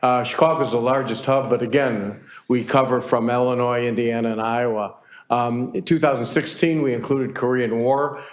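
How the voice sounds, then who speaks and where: In a room with audible echo, a man's medium-pitched voice keeps a fairly even intonation. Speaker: navy veteran presenting to council. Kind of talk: public presentation. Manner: fast; halting with fillers.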